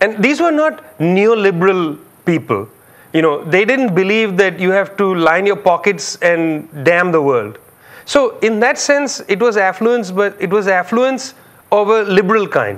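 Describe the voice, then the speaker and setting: A man speaks at a fairly slow pace in a high voice, his intonation lively and his loudness very even. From India, Calcutta. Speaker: public intellectual, author. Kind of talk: interview. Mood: reflective, engaged. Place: studio. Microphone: lapel.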